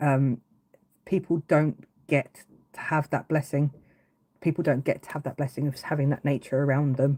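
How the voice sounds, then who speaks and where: In an English accent, a woman speaks at a very deep, low pitch with a dark, mellow tone, monotone, flat intonation and a moderate pace, on a very clean recording with a silent background. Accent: English accent, noticeable. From England, Brighton, East Sussex. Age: 40s. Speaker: woodcarving livestreamer. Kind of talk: casual livestream chat. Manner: hesitant, many fillers and restarts.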